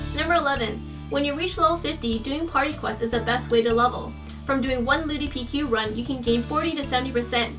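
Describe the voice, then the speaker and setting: A woman at a very fast pace, with clear music in the background. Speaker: gaming vlogger. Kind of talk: scripted informational game vlog. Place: home room.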